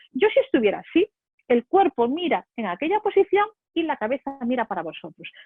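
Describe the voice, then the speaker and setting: The voice has a Spanish accent and an animated tone. It moves at a fairly quick pace with very wide pitch swings. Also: woman. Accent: Spain Spanish. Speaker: public speaking trainer. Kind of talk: webinar lecture. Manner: fast.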